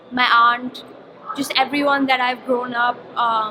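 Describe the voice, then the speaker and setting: A woman speaks in a high-pitched voice. Noticeable background noise runs underneath. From India, Mumbai. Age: 20s. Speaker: poet. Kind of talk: interview; poetry reading.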